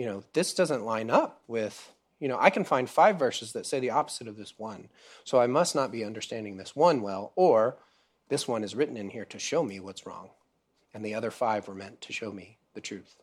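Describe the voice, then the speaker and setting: In an ordinary speaking voice, a man speaks at a fairly quick pace and a medium pitch, with lively intonation and big swings in loudness, on a very clean recording with a silent background. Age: 30s. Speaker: preacher. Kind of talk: sermon. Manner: casual, with many fillers.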